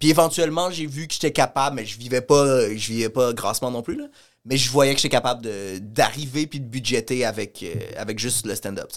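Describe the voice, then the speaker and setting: A man's medium-pitched voice at a fairly quick pace, with ordinary pitch variation and big swings in loudness, on a very clean recording with a silent background. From Montreal. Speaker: comedian. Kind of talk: casual chat, podcast interview.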